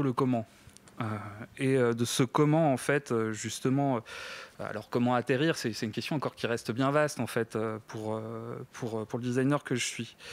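Heard in a dry sound with no echo, a man speaks with fairly even intonation. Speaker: design researcher. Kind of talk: project presentation. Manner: halting, many fillers and repetitions. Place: stage. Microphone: handheld.

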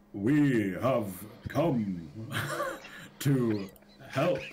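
A man's put-on character voice at a medium pitch, with audible echo. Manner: put-on, sustained in character.

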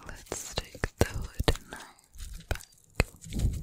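A woman whispers. She is soft-spoken throughout. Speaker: ASMR creator. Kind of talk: soft ASMR whispering. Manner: soft close-mic ASMR whisper. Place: home room. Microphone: studio mic.

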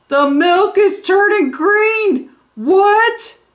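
At a very slow pace, a woman speaks with an extremely high pitch and lively intonation.

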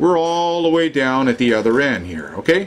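A man's lively intonation, at a moderate pace, rises above noticeable background noise. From Canada. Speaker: online commentator on Fukushima. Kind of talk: angry rant about information blocking and media. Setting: video narration over maps and screen. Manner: indignant, ranting, emphatic; casual, folksy, addresses viewers directly.

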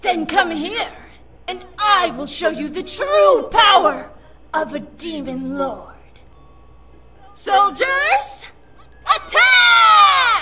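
In a put-on character voice, a woman shouts at an extremely high pitch with very wide pitch swings, a very slow pace, and long, frequent pauses. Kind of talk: comic overacting. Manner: bombastic, theatrical shouting.

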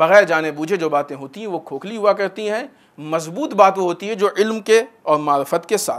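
This man's voice sits high in pitch, with a fairly bright tone and ordinary variation in its melody. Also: moderate pace.

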